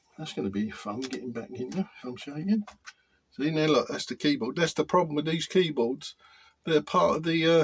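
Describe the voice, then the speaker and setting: A man speaks in a British accent at a fairly high pitch. His pace is moderate, with ordinary pitch variation. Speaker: hobbyist repair youtuber. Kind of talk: tutorial. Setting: workshop. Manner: halting; hesitant with repetitions.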